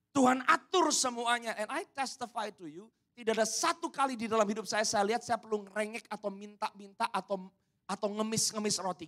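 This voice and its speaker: This man's voice is high-pitched and animated in tone, moving at a moderate pace. His loudness swings widely. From Indonesia. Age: 30s. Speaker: pastor. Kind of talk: sermon.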